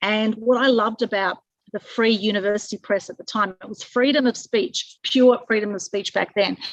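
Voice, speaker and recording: A woman's fairly high voice with fairly even intonation, big swings in loudness, and a dry, close sound with no echo. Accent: Australian. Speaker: publicity consultant. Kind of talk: webinar presentation. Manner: fast.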